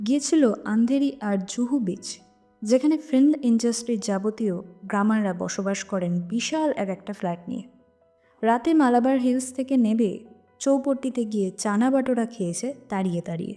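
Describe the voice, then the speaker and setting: Music is heard in the background. A woman speaks at a fairly high pitch with ordinary pitch variation. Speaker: narrator. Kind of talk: audio story narration.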